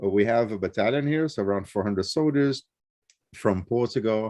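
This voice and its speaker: At a moderate pace, a man speaks with a Rio de Janeiro accent and ordinary pitch variation. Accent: Rio Brazilian. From Brazil, Rio de Janeiro. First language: Portuguese. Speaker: interviewee, traveler. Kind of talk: casual interview. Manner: hesitant, many fillers.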